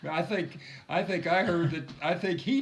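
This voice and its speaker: A man speaks with a high pitch and ordinary pitch variation. Noticeable background noise runs underneath. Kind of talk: casual interview questions.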